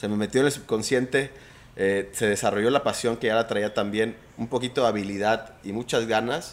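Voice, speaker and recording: A man with an unremarkable speaking voice talks at a moderate pace, his fairly low pitch held in fairly even intonation. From Mexico, Mazatlán (Sinaloa). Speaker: trader and former pro golfer. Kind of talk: interview conversation.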